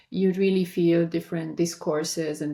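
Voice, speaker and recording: Her voice fairly low in pitch, a woman speaks with a dark, mellow tone and vocal fry. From Romania. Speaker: architect. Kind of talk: interview.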